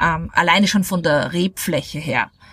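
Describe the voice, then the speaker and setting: A woman at a fairly slow pace and medium pitch, amid noticeable background noise. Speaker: wine podcast host. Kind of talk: casual interview. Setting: outdoors at a table by a villa.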